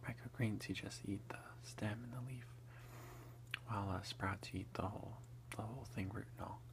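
Whispering in a soft-spoken, relaxed way at a moderate pace, the speaker leaves long, frequent pauses over noticeable background noise. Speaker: ASMR creator, home gardener. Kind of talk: casual talk to camera, whisper eating ASMR. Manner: soft-spoken, relaxed, whispered. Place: home room. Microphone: phone near.

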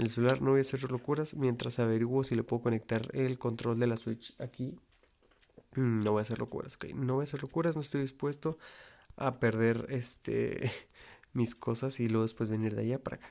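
A quiet man with a medium pitch and a dark, mellow tone talks with fairly even intonation on a very clean recording with a silent background. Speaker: gaming youtuber. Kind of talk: gameplay commentary.

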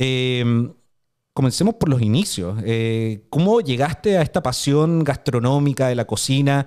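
Over a quiet background, a man with a Chilean accent talks at a fairly slow pace with lively intonation. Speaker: podcast host. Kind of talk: casual chat. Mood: engaged, animated. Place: studio. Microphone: studio mic.

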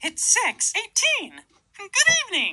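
A put-on character voice rises to an extremely high pitch. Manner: silly.

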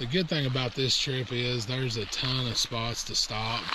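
The recording is dry, without any echo. A man talks while noticeable noise sits in the background. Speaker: kayaking vlogger. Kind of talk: casual vlog chat. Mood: mildly annoyed at crowds. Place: waterside. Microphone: phone near.

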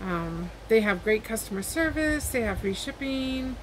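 Noticeable background noise sits behind a woman's somewhat breathy voice. She speaks with ordinary pitch variation. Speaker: haul vlogger. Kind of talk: casual vlog chat. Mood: friendly, upbeat. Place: home room. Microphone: webcam.

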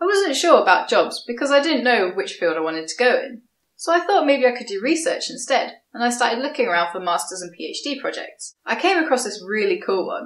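In a southern English accent, a woman speaks at a fairly quick pace with an upbeat tone, very wide pitch swings and big swings in loudness. The background is quiet, and room echo is audible. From southeast England, Kent. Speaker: scientist and science video creator; science video creator. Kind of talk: vlog monologue. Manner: casual, upbeat. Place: home room.

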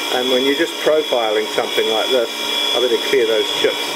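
The delivery moves at a fairly quick pace. Loud background noise sits behind it. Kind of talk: tutorial. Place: workshop. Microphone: phone near.

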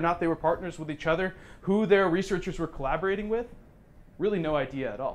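This man talks at a very fast pace with an American accent. His pitch is high and his intonation lively. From Oregon. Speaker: business professor. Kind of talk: presentation. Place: meeting room. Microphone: lapel.

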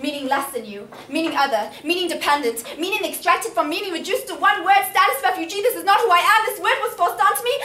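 The raised, projected voice races at a very fast pace with hardly any pauses and very wide pitch swings, against noticeable background noise. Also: woman, extremely high pitch for a woman. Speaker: spoken word poet. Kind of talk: spoken word poetry performance. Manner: powerful, impassioned.

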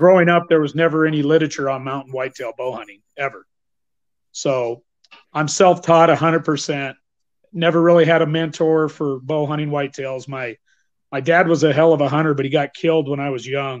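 This man has a plain, everyday voice with an American accent and a fairly high pitch. He talks at a moderate pace with fairly even intonation. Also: big swings in loudness. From northern Idaho, US. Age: 50s. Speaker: bowhunter and teacher. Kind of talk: interview. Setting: video call. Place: home room. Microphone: video call.

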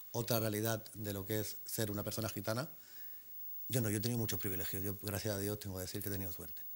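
A man with a fairly low voice rattles along at a very fast pace, holding his intonation fairly even. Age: 40s. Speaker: Roma activist; talk show guest. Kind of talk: panel discussion. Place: studio. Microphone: lapel.

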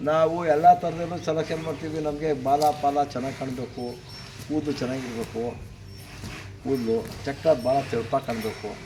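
A man talks at a fairly high pitch with fairly even intonation. Noticeable background noise can be heard. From Karnataka, Ramanagara district. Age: old. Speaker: stud bull keeper, farmer. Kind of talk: interview.

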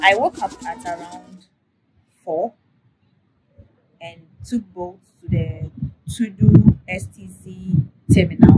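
Over loud background noise, a woman speaks very slowly with long, frequent pauses. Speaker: travel vlogger. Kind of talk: casual vlog chat. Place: home room. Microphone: lapel.

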